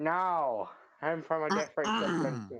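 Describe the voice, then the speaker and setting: This is a put-on character voice with a nasal sound. It sits at a middle pitch and moves at a moderate pace. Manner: nasally put-on voice.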